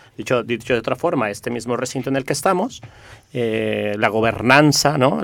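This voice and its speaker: The man speaks at a fairly quick pace. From Mexico. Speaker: community network activist. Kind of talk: radio interview.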